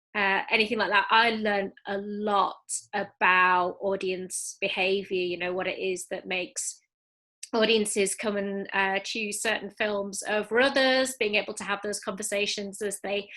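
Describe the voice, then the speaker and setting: A woman's bright, sharp tone, flat and monotone, at a fairly slow pace against a quiet background. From Yorkshire, England. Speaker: film festival deputy director. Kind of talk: panel interview. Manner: hesitant, many fillers.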